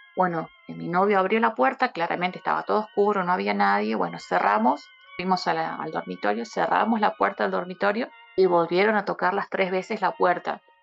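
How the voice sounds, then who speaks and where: A woman speaks at a fairly quick pace against noticeable background noise. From Buenos Aires, Argentina. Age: 30s. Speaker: guest telling a paranormal experience. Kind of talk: testimony.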